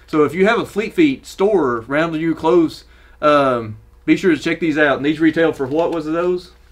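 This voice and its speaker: Speaking with a Southern US accent, a man with a fairly high pitch talks at a moderate pace with ordinary pitch variation. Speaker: running gear YouTuber. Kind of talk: casual product review. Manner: casual, halting with fillers.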